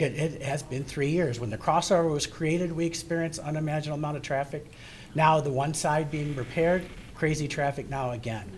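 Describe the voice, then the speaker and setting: A fairly high-pitched man at a fairly quick pace, his intonation fairly even, with audible room echo. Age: 60s. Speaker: resident speaking at public comment. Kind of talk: public comment at township meeting. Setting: township hall meeting.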